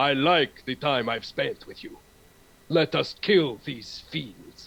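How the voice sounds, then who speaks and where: A fairly slow, put-on character voice from a man. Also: fairly high pitch for a man. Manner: commanding.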